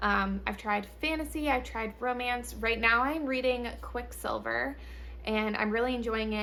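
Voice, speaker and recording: Speech moves at a moderate pace. There is audible room echo and noticeable background noise. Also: woman. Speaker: book reviewer YouTuber. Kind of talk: casual vlog monologue. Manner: many filler words.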